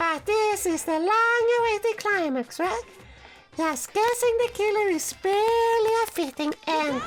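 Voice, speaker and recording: A squeaky, put-on character voice delivers the lines in a playful, theatrical tone at a moderate pace. Faint music sits in the background. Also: woman, extremely high pitch for a woman. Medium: game stream. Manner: mocking, playful, theatrical.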